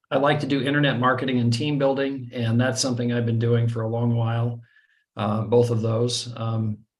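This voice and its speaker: A somewhat breathy voice speaks at a moderate pace with fairly even intonation. Audible room echo surrounds it. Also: man. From US. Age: 60s. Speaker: online trading marketer. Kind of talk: webinar presentation. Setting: video call. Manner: hesitant, many fillers.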